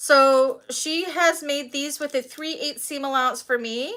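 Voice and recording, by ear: A woman's high-pitched voice, bright and sharp in tone, at a fairly slow pace with ordinary pitch variation.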